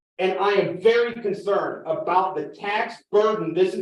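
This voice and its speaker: This loud man speaks at a moderate pace with a high pitch. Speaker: farmer and resident speaking at public comment. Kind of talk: public meeting comment. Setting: village council meeting.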